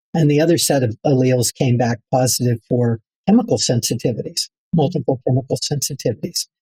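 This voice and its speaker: A man's voice has a dark, mellow tone and is somewhat breathy. The sound is dry and close, with no echo. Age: 70s. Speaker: building biologist and author. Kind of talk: interview. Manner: halting, many fillers.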